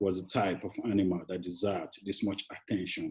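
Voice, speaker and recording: A man with a Nigerian accent speaks at a moderate pace in a dark, mellow tone. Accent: Nigerian (Yoruba) English. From Nigeria, Lagos. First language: Yoruba. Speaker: poet. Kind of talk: poetry reading; interview. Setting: classroom.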